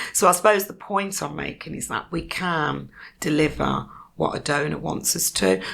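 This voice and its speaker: A woman speaks with a Birmingham accent. Her pace is moderate. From Birmingham, England. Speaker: community foundation leader. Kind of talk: podcast interview. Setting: podcast studio.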